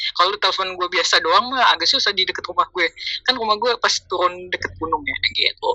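A woman at a fairly quick pace, the sound dry and close with no echo. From Jakarta, Indonesia. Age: 20s. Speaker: content creator. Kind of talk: casual chat. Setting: remote call.

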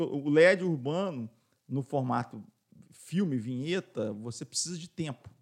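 In a dry, close sound with no echo, a man with an unremarkable speaking voice uses lively intonation at a fairly high pitch. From Minas Gerais, Brazil. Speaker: business owner, radio station director. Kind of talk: casual interview.

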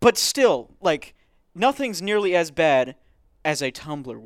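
The recording is very clean, with a silent background. A man talks at a fairly slow pace with lively intonation. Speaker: podcast host. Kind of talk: casual chat.

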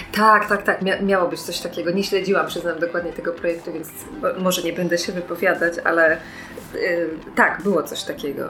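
A woman's fairly low voice at a fairly quick pace, with fairly even intonation, audible room echo and music in the background. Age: 30s. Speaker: activist. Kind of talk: casual chat.

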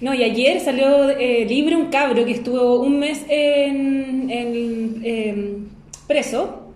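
A woman's high-pitched voice in a Chilean accent, very slow and fairly even in intonation, with audible room echo. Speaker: podcast co-host. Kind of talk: casual chat. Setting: guest's home.

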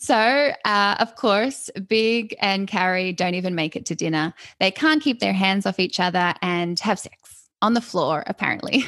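An unremarkable speaking voice from a woman, medium in pitch, with lively intonation at a fairly slow pace against a quiet background. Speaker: hairdresser and comedian, podcast host. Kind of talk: casual chat.

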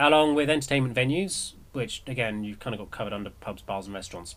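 With an English accent, a man talks at a fairly quick pace and makes very wide pitch swings. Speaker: community radio host. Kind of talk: news commentary, casual and sarcastic. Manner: rambling, with many fillers.

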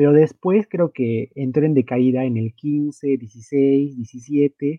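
A man is speaking. His pitch is fairly high. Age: 20s. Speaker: wrestling video game podcast co-host. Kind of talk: casual chat.

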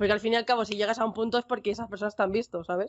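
Here a woman speaks at medium pitch. She has a Castilian accent. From Spain. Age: young. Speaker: Twitch streamer and pharmacy student. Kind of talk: casual chat.

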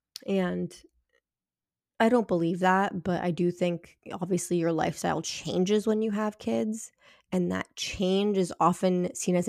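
Recorded very cleanly against a silent background, a woman uses a normal speaking voice, fairly low in pitch, with ordinary pitch variation. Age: 30s. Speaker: podcast host, mother. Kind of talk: solo podcast monologue. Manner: casual, conversational with fillers.

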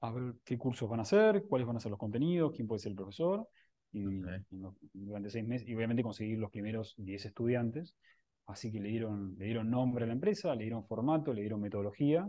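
A man talks at a very fast pace with an Argentine accent. His pitch sits in the medium range. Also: ordinary pitch variation. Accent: Argentine Spanish (voseo). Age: 30s. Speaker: tech startup co-founder. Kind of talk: interview.

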